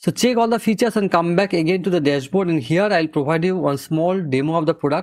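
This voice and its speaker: Against a quiet background, a man talks with a high pitch. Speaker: software reviewer. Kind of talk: tutorial.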